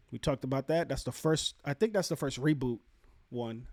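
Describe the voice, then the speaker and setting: A man speaks at a moderate pace with a Puerto Rican accent, his pitch fairly high and his intonation lively. The recording is very clean, with a silent background. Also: dry, close sound with no echo. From Puerto Rico. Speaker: video game commentator going over upcoming releases. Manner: casual, conversational, thinking aloud.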